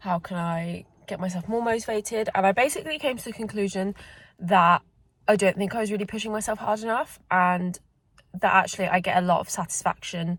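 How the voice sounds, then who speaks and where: A somewhat breathy woman at a medium pitch and a fairly quick pace. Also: ordinary pitch variation. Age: young. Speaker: figure skater. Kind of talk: casual vlog talk to camera.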